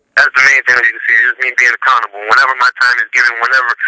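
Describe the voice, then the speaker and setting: A man talks at a very fast pace, and the sound is dry and close with no echo. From Louisiana. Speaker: professional football player. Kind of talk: radio interview. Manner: casual, filler-heavy.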